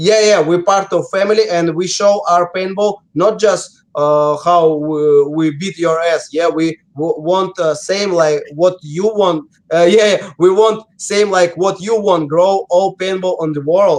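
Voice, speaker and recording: Speaking in a Russian accent, a man talks at a fairly slow pace with hardly any pauses. His pitch is high and his intonation fairly even. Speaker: professional paintball player. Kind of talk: interview. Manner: halting, many fillers.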